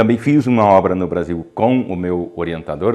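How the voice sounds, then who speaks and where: A man speaks with a very deep, low pitch and a dark, mellow tone. His pitch varies in an ordinary way. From southern Brazil, Ijuí (Rio Grande do Sul). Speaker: professor and researcher in physical education. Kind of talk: interview. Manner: halting, with many fillers.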